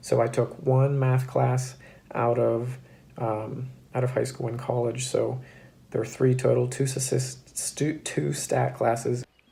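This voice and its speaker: A man speaks at a very slow pace. Audible room echo can be heard. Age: 20s. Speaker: cybersecurity graduate and YouTuber. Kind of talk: casual explainer to camera. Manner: casual with frequent fillers.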